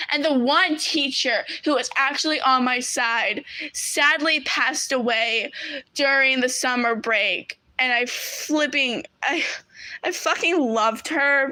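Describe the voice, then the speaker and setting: A woman uses a raised, projected voice at a high pitch with ordinary pitch variation. She talks at a very slow pace, and her loudness stays very even. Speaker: streamer. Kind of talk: casual chat. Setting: live stream.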